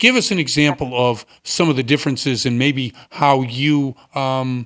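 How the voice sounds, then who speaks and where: A man with an American accent speaks at a medium pitch in a plain, everyday voice, with fairly even intonation. The recording is very clean, with a silent background. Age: 60s. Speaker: radio host. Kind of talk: interview.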